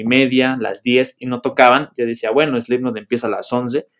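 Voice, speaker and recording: A man is speaking. He has a Mexican accent. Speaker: podcast host. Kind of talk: casual chat.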